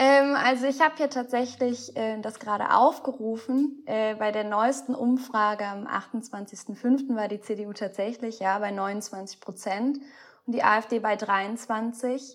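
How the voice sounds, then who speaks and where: A woman talks at a very slow pace in a fairly high pitch, with ordinary pitch variation. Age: 20s. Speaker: student political group leader. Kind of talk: interview.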